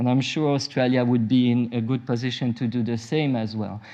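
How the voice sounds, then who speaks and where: In a French-Swiss accent, a man of medium pitch talks at a moderate pace with fairly even intonation. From French-speaking Switzerland. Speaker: nuclear medicine physician. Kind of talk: conference talk. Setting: conference session with audience. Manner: hesitant, many fillers.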